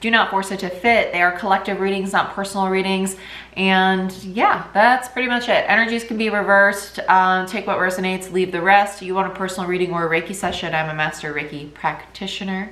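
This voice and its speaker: Fairly quick speech from a woman at medium pitch, with hardly any pauses and fairly even intonation, amid audible room echo and noticeable background noise. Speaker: tarot reader and reiki practitioner. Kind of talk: tarot reading intro. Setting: at home in kitchen. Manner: fast.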